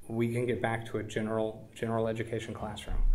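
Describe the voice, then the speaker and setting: In an American accent, a man talks with a monotone, flat intonation. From US Midwest, Columbia, Missouri; Missouri. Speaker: school board member; candidate. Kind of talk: candidate forum answers. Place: meeting room.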